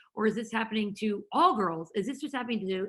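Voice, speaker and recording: Lively intonation marks speech delivered at a very fast pace. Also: woman. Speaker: company founder and former girls' lacrosse coach. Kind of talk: webinar presentation. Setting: online webinar.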